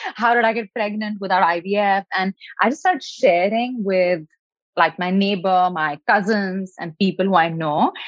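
With an Indian accent, a woman speaks at a moderate pace and medium pitch, with ordinary pitch variation. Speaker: nutritionist and health coach. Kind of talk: interview.

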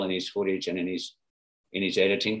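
A man speaks with an Australian accent. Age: 60s. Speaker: former pro surfer and writer. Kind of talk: interview. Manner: halting.

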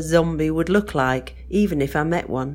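The speaker has an English accent and keeps a moderate pace. The recording is very clean, with a silent background. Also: woman. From northern England, West Yorkshire. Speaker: listener submitting a story. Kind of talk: reading aloud.

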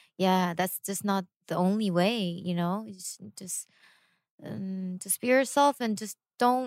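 On a very clean, dry and close recording with a silent background and no echo, a woman speaks at medium pitch and a fairly slow pace with ordinary pitch variation. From South Korea and US, raised in both. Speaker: singer. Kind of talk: casual interview.

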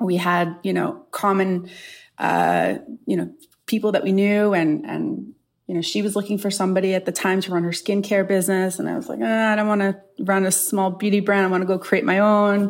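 A woman speaks at a fairly quick pace with medium pitch, an unremarkable speaking voice and ordinary pitch variation. The recording is very clean, with a silent background. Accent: American. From New York, Long Island. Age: 40s. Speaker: beauty company executive. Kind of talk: interview.

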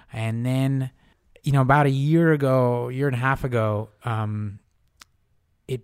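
A man speaks at a medium pitch with an American accent and an unremarkable speaking voice. His pitch varies in an ordinary way, and his pace is fairly slow. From US Northeast, Newton near Boston, Russian family. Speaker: magazine editor and writer. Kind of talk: interview. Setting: studio.

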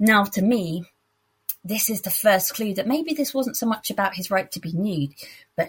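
A somewhat breathy woman with a British accent, moderate pace and ordinary pitch variation. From UK. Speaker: listener voice memo contributor. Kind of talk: personal story told in voice memo.

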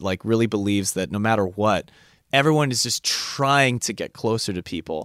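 Recorded very cleanly against a silent background, a man speaks in a medium pitch with ordinary pitch variation and an American accent, and the sound is dry and close with no echo. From California. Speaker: podcast co-host. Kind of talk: casual chat. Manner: animated.

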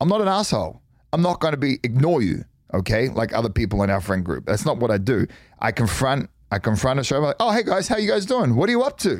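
A man with an Australian accent talks very fast at a medium pitch, his pitch swinging very widely while his loudness stays very even. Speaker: former pro athlete, reality TV personality. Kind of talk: casual chat. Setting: studio.

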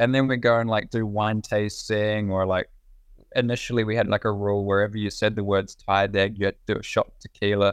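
A man talks very fast in a New Zealand accent, his fairly low voice held to a flat monotone. His loudness swings widely against a quiet background. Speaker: racing driver. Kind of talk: casual interview.

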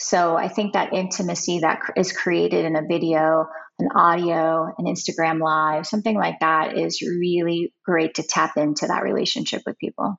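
With an unremarkable speaking voice, a woman speaks at a moderate pace with hardly any pauses, fairly low pitch and fairly even intonation. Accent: American. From Ohio, US. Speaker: writer, former criminal defense lawyer. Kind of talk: interview.

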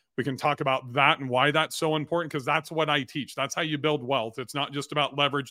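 A man with an American accent speaks at a very fast pace in a fairly high pitch, keeping his intonation fairly even. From California (Bakersfield). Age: 50s. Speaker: entrepreneur and real estate investor. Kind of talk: interview.

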